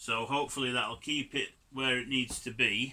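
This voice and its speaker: A man at medium pitch with a Yorkshire accent, bright and sharp in tone, very slow, with fairly even intonation. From Yorkshire, northern England. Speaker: DIY car hobbyist. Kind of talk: tutorial. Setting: home garage. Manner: casual, chatty.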